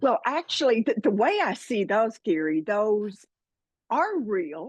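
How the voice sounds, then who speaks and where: A woman with a Southern US accent, very wide pitch swings and a fairly slow pace in a dry, close sound with no echo. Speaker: spiritual podcaster and author. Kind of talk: interview.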